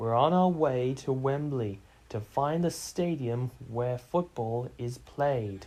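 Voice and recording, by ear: The voice is natural, reading aloud.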